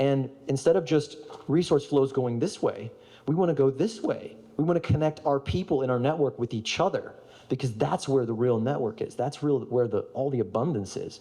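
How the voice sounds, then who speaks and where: This man's voice sits fairly high and has a dark, mellow tone. His pitch varies in an ordinary way. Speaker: speaker on storytelling and regenerative organizing. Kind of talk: conference talk with audience participation. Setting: stage with audience. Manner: fast; animated.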